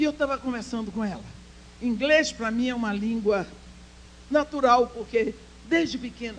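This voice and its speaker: A woman's fairly high voice moves at a moderate pace with ordinary pitch variation, noticeable background noise underneath. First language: English (speaking Portuguese). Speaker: speaker at women's church conference. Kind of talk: sermon.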